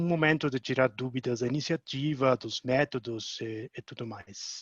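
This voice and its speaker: The recording of a man is dry and close with no echo, with a quiet background and ordinary pitch variation. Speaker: technical manager at climate initiative. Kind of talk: webinar presentation.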